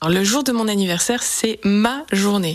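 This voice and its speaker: Moderate pacing and ordinary pitch movement from a woman at a medium pitch, over noticeable background noise. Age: 30s. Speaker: self-employed interviewee. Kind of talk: radio interview. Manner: casual, hesitant.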